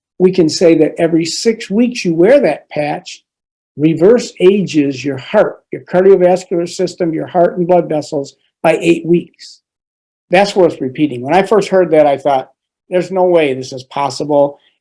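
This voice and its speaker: A dark, mellow tone comes through at a moderate pace with ordinary pitch variation. The recording is very clean, the background silent. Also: man, high pitch for a man. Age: 60s. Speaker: physician. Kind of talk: informational talk. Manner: hesitant fillers.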